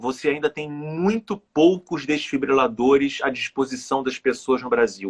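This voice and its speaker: In a plain, everyday voice, a man with a fairly high pitch speaks at a fairly slow pace with hardly any pauses. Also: ordinary pitch variation, dry, close sound with no echo. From Rio de Janeiro, Brazil. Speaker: author, cardiac arrest survivor. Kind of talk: interview answer.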